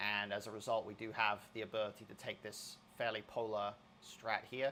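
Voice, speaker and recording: Bright and sharp in tone, a man's voice comes through. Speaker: poker coach. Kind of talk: tutorial. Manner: fast.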